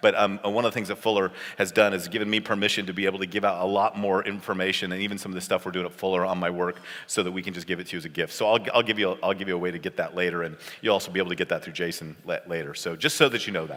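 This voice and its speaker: Speaking at a very fast pace, a man with an American accent keeps his intonation fairly even. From California. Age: 50s. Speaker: pastor and seminary professor. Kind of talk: conference talk.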